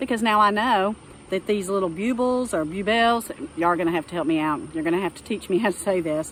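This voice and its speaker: A woman with a Texan accent talks at a medium pitch with ordinary pitch variation. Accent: Texas accent, drawn-out vowels. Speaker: gardening vlogger. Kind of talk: casual tutorial. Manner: casual, with many fillers.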